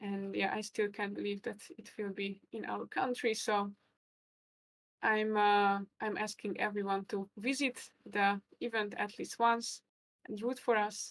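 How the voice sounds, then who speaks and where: At a fairly slow pace, a woman speaks in a medium pitch with monotone, flat intonation, the sound dry and close with no echo. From Hungary. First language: Hungarian. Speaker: chess commentator and player. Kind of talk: live stream chess commentary. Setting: live stream.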